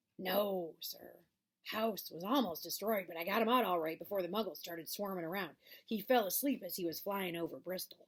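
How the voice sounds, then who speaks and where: A woman's put-on character voice, medium in pitch, at a fairly quick pace. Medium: read story. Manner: deferential, says sir often.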